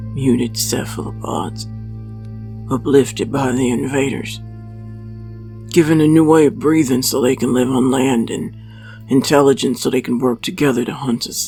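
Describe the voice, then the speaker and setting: In a put-on character voice, a man growls at a moderate pace while clear music plays in the background. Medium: read story. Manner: terse, curt, suspicious.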